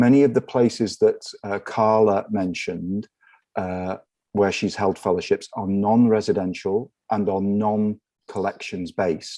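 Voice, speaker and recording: Speaking slowly-ish with fairly even intonation, a man with an English accent has a fairly low pitch and a dark, mellow tone. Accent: English accent, noticeable. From northwest England, near Liverpool. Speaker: research library director. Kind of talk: conference panel talk.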